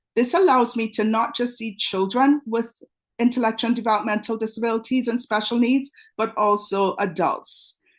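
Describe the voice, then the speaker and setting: Against a quiet background, a woman speaks with a Trinidadian accent. Her pitch is fairly high, her pace moderate, and her pitch variation ordinary. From Trinidad and Tobago. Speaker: pediatric dentist. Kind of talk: webinar presentation. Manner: energetic.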